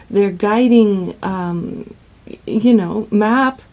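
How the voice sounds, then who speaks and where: Over noticeable background noise, a woman talks very slowly in a fairly high voice with ordinary pitch variation. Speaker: relationship coach. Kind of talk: vlog advice talk.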